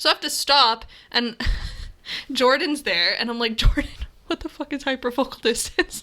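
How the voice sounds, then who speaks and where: A woman projects a raised voice at a high pitch, with a bright, sharp tone and ordinary pitch variation. She leaves long, frequent pauses on a very clean recording with a silent background. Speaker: photography podcast co-host. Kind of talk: casual chat. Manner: fast.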